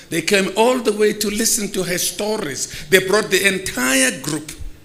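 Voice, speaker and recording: A man talks at a moderate pace with lively intonation. Noticeable background noise sits behind him. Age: 70s. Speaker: theatre veteran and former director. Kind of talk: tribute speech.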